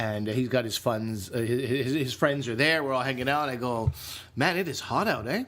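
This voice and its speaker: In an animated tone with a Canadian accent, the speaker keeps a moderate pace and ordinary pitch variation. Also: man, medium pitch for a man. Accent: Canadian, says eh. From Canada. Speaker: comedian and podcast co-host. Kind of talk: casual chat.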